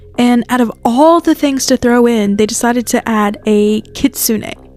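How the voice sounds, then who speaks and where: A woman at a moderate pace with fairly even intonation, over noticeable background noise. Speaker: podcaster / folklore channel host. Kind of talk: casual podcast-style folklore talk. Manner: casual, conversational.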